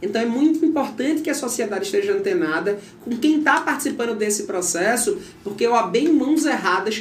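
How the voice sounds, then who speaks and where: A man with lively intonation talks fairly quickly, and both noticeable background noise and audible room echo can be heard. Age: 40s. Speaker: lawyer and bar association candidate. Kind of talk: interview.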